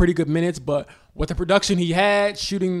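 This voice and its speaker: This man's voice sits high for a man and moves at a fairly quick pace. His intonation is monotone and flat. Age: 20s. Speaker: sports journalist. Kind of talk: casual chat.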